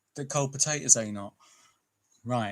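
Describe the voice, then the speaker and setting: A man with a British accent at medium pitch, on a very clean recording with a silent background. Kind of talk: casual chat.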